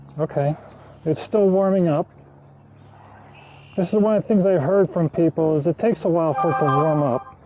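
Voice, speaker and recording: Over noticeable background noise, a man talks at a fairly quick pace with ordinary pitch variation and long, frequent pauses. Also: fairly high pitch for a man, very even loudness. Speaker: backyard beekeeper. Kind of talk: tutorial.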